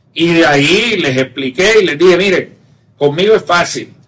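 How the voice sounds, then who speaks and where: Speaking with a Caribbean Colombian accent, a man uses a high pitch with ordinary pitch variation. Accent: Colombian Caribbean (costeño). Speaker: tech entrepreneur, company cofounder. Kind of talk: interview conversation. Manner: casual, colloquial.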